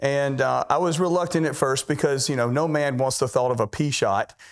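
A fairly high-pitched man's voice, a plain, everyday voice, with ordinary pitch variation and a fairly quick pace. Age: 50s. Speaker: patient. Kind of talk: testimony.

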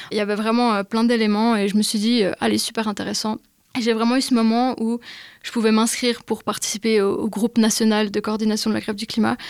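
Recorded very cleanly with a silent background, a woman speaks quickly enough to count as fairly fast, her fairly high pitch held in a monotone, flat intonation. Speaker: climate activist. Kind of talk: casual chat.

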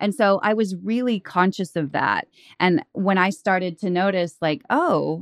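A normal speaking voice with an American accent, at a moderate pace, in a dry, close sound with no echo. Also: woman. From Oklahoma and Texas. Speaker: author and podcaster. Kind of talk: casual chat.

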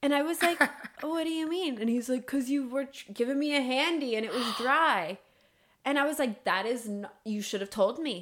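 A woman speaks at a high pitch and a fairly quick pace. Her tone is animated and her intonation lively. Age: 20s. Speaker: podcast co-host. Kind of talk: casual chat. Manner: animated, laughing often.

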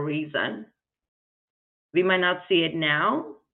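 Speaking with a non-native accent, a woman uses a fairly low pitch. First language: not English. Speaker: nonprofit founder, former finance executive. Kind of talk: interview.

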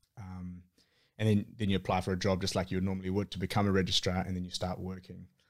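A man's very deep, low voice with a New Zealand accent, very fast and monotone, on a very clean recording with a silent background. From New Zealand, Auckland. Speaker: surgical registrar. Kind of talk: casual interview.

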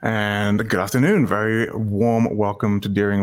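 A man's fairly low voice at a moderate pace, monotone with flat intonation. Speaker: show host. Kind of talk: casual interview chat. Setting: video call.

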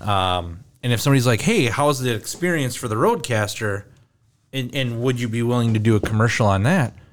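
This man has an ordinary speaking voice, medium in pitch with ordinary pitch variation, and he talks at a fairly quick pace. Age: 40s. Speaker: podcast host. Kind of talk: casual chat. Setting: in-person recording in Minneapolis.

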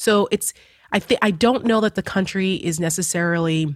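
A woman speaks with a New Jersey accent and ordinary pitch variation. The recording is very clean with a silent background, and the sound is dry and close with no echo. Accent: New Jersey American English. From New Jersey, US. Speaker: political commentator. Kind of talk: casual chat.

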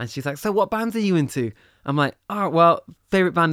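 A man with a Mancunian accent speaks at a fairly quick pace with lively intonation. The recording is very clean with a silent background and a dry, close sound with no echo. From Manchester, England. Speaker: musician. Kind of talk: casual chat. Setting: studio.

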